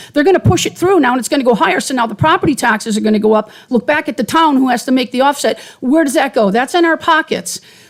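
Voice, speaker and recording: Talking very fast with hardly any pauses, a woman with an American accent uses a high pitch and lively intonation. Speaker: resident speaking at public hearing. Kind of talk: public comment at budget hearing. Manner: off the cuff.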